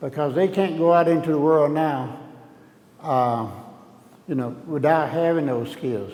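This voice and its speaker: A man with an American accent speaks at a moderate pace, with audible room echo and noticeable background noise. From US South, Alabama (Tuscaloosa). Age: 70s. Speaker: painter. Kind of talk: artist talk, open dialogue. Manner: halting, many fillers.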